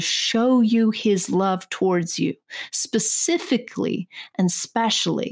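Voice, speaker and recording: The pace here is fairly slow, with ordinary pitch variation. It is a normal speaking voice. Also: woman. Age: 30s. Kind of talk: Bible teaching; casual personal story.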